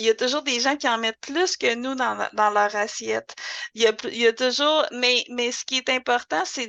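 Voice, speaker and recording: In a Quebec accent, a woman with a fairly high pitch speaks at a moderate pace, the sound dry and close with no echo. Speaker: language school director and teacher. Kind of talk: podcast interview. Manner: hesitant, many fillers.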